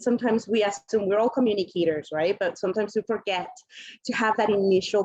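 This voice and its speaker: This woman speaks with a Colombian accent. Her pitch varies in an ordinary way. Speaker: panelist, multicultural marketing professional. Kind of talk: panel discussion.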